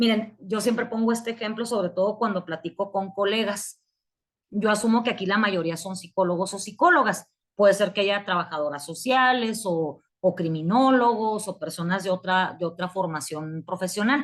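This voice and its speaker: Moderately paced speech from a woman, quiet background. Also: medium pitch for a woman, ordinary pitch variation. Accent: northern Mexican. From Mexico, Chihuahua. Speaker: psychology lecturer. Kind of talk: online lecture. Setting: online class.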